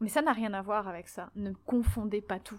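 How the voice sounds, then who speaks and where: At a fairly slow pace, a woman speaks. Her pitch is medium. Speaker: podcast host. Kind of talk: solo podcast monologue.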